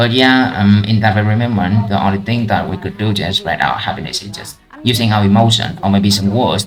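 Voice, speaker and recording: With a Vietnamese accent, a man speaks at a fairly quick pace in a fairly low voice with fairly even intonation and hardly any pauses, music playing in the background. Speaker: IELTS practice vlogger. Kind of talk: speaking test practice. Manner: halting.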